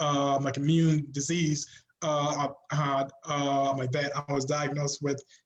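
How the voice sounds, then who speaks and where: Fairly slowly, a man talks at a fairly high pitch. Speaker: author. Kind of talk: interview. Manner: halting.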